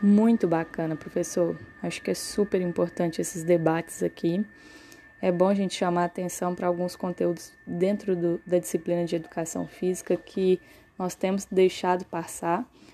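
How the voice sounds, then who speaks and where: At a moderate pace, a woman with a plain, everyday voice and fairly low pitch speaks in fairly even intonation. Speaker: university student, podcast host. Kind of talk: interview.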